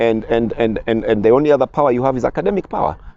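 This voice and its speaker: Vocal fry runs through a man's voice. He speaks very fast. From Kenya, Nairobi. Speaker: sports broadcaster and lecturer. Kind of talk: interview. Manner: repetitive stammering restarts.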